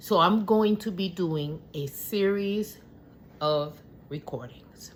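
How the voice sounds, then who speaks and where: The woman's delivery is very slow. Her voice rises and falls in a normal way. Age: 60s. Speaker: caregiver. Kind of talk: personal vlog monologue. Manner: halting, stuttering.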